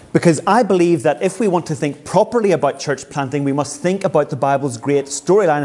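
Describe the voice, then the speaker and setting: Over noticeable background noise, a man talks at a fairly quick pace. He leaves hardly any pauses. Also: fairly high pitch for a man, ordinary pitch variation. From Northern Ireland, Belfast. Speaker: pastor and church planter. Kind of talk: seminar talk with interpreter. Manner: pausing for consecutive interpretation.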